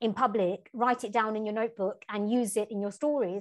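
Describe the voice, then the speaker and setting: A woman with a London accent speaks at a fairly high pitch with fairly even intonation against a quiet background. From East London, England. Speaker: novelist and travel writer. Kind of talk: interview conversation.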